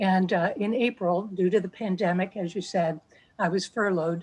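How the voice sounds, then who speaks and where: A woman with an American accent speaks at a moderate pace and medium pitch, with fairly even intonation and a quiet background. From New Jersey. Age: 60s. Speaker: patient sharing her story. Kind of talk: testimony. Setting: video call.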